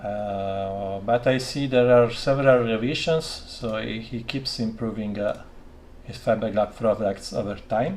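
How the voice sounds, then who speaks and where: A man with a non-native accent speaks fairly slowly at a medium pitch. His loudness swings widely. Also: ordinary pitch variation. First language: not English. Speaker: electronics maker live-streaming his workshop. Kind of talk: live stream workshop chat. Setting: home laboratory. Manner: halting, many fillers.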